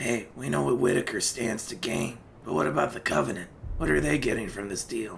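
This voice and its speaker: A man does a put-on character voice, raspy and fairly low, with very wide pitch swings. He talks at a fairly quick pace over clear background noise. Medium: machinima. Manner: blunt, casual.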